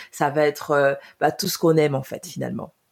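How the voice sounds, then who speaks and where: A woman's very deep, low voice in a flat monotone. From Cameroon. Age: 20s. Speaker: podcast co-host. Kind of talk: casual podcast introduction.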